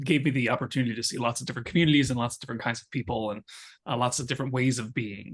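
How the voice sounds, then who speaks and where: With an American accent, a man talks at a very fast pace and medium pitch, somewhat breathy, with ordinary pitch variation. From US Northeast, Long Island, Suffolk County, New York. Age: 30s. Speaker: poet, author and social worker. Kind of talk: interview conversation. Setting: video call. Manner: many fillers and hesitations.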